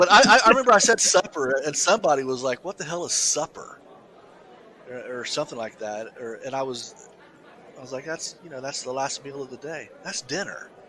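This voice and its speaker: With crowd noise in the background, a man with a fairly high pitch speaks at a fairly quick pace, his lively intonation marked by big swings in loudness. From US South. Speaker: podcast co-host. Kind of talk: casual chat. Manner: halting, many repeated words.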